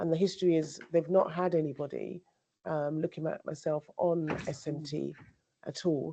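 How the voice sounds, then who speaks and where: This woman's voice has a dark, mellow tone and a fairly low pitch. Her intonation is monotone and flat. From England, Devon and Somerset. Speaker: academic, vice dean. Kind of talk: panel discussion.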